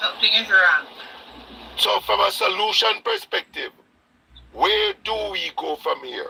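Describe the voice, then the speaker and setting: A man's fairly slow speech is broken by long pauses that come often. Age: 60s. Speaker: caller. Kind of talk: call-in discussion. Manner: halting.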